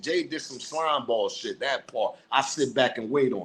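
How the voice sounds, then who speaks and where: This is a man's voice. It sits at a fairly high pitch. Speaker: hip-hop news commentator. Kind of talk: casual commentary monologue. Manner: aggressive.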